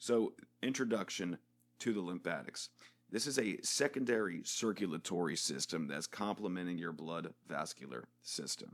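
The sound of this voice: In a put-on character voice, a man speaks with a very deep, low pitch and a raspy edge. His intonation is lively and his pace moderate.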